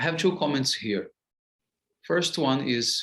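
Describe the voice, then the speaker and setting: With lively intonation, this man delivers his words at a fairly slow pace. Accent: Portuguese. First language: Portuguese. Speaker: spiritual teacher. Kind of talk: lecture. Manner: halting, many fillers.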